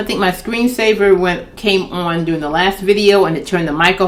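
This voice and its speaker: A woman is heard over noticeable background noise. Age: 60s. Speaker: children's book author. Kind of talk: casual talk to camera. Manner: candid, conversational.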